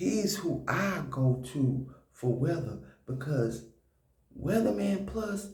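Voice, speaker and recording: Quiet and very slow, a man with a fairly high voice swings his pitch very widely amid audible room echo. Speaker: prepper video host. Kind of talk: casual commentary vlog. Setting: at home. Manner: quiet, hushed.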